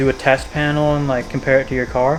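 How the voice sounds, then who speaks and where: A man talks at a fairly quick pace with a fairly high pitch. There is noticeable background noise. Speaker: car hobbyist vlogger. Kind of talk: casual vlog monologue. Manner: fast.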